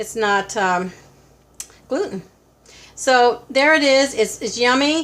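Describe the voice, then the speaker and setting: Very slow speech from a woman, its pitch varying in an ordinary way. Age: 70s. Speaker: cooking channel host. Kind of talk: cooking tutorial. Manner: halting, many fillers; casual.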